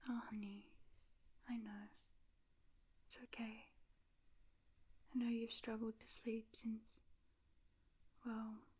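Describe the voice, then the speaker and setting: Soft-spoken and very slow, a woman talks in a fairly high, monotone voice with flat intonation. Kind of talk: ASMR roleplay, pillow talk.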